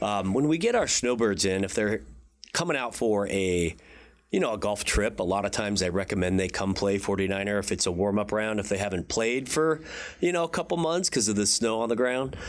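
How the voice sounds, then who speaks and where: In a normal speaking voice, a man talks fairly quickly at a fairly low pitch with lively intonation and very even loudness, on a very clean recording with a silent background. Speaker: golf club director. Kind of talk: interview.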